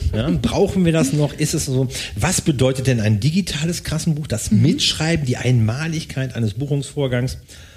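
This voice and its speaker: Somewhat breathy, this voice has lively intonation and very even loudness. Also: man, medium pitch for a man, moderate pace. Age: old. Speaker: podcast co-host, tax/IT audit consultant. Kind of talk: casual chat.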